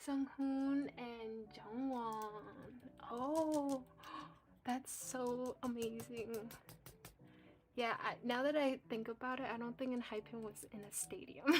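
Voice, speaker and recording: Speech in a Cantonese accent moves at a very slow pace with long, frequent pauses and ordinary pitch variation, music playing in the background. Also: woman, high pitch for a woman. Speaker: coloring livestreamer. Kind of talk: casual chat. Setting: livestream.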